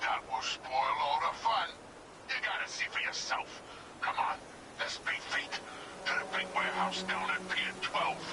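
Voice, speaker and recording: At a moderate pace, a man talks in a put-on character voice. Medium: audio drama. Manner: 1930s gangster slang, tough-guy.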